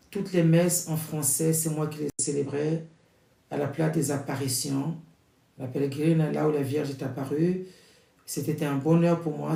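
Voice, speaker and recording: A man's fairly high, monotone, flat voice at a moderate pace, with audible room echo. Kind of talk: prayer introduction before a novena rosary. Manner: loud.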